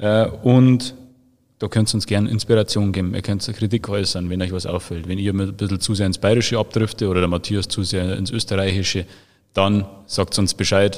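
The recording is very clean, and its background is silent. An ordinary speaking voice holds a moderate pace, its intonation fairly even. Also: man, fairly low pitch for a man. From Bavaria, Freising. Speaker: social media manager. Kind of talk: casual chat; reading aloud.

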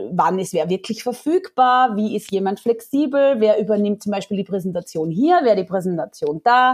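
With a slight Austrian accent, a woman speaks in a fairly high voice with lively intonation. She keeps a moderate pace with hardly any pauses. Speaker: founder of a job-sharing platform. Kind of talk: podcast interview.

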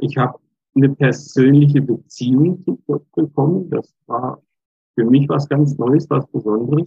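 Here a man speaks at a fairly high pitch and a fairly slow pace. His voice is somewhat breathy, with fairly even intonation. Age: 60s. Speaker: lay church minister. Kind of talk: interview.

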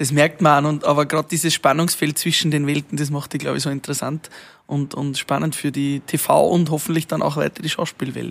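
A man's fairly high voice, monotone and flat in intonation, at a fairly quick pace. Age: 30s. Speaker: podcast host. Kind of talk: casual interview chat. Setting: outdoors in a garden.

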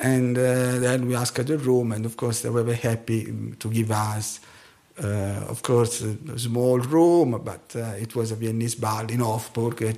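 A man with an Italian accent talks at a moderate pace and a medium pitch, with monotone, flat intonation and a dark, mellow tone. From Italy. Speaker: scientist and tango dancer. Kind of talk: interview.

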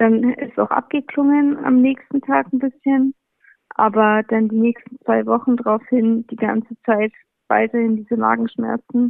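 A woman with a normal speaking voice, fairly high in pitch, with fairly even intonation and a fairly slow pace. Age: 20s. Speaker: cancer patient. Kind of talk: interview. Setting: phone call.

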